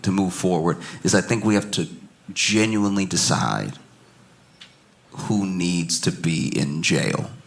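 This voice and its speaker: With noticeable background noise behind him, a man with a very deep, low voice speaks at a fairly slow pace with lively intonation. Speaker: stand-up comedian. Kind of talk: stand-up comedy set. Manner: calm, laid-back.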